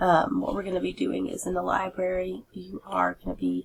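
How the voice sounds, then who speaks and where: A woman talks at a moderate speed while noticeable background noise runs underneath. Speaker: teacher. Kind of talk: tutorial. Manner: hesitant, many fillers.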